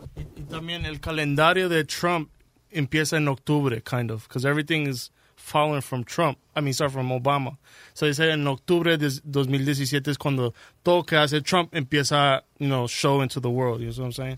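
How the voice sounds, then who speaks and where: A man with an unremarkable speaking voice talks at a fairly high pitch and a moderate pace, with fairly even intonation, in a very clean recording with a silent background and a dry, close sound with no echo. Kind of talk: casual chat. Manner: code-switching Spanish and English, explaining.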